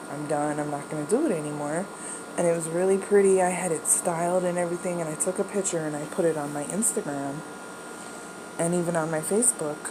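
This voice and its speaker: A woman speaks at a very fast pace with a fairly low pitch and fairly even intonation. Audible room echo and noticeable background noise surround her. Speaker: video blogger. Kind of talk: casual chat. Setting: bedroom at home. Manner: quiet, not projecting.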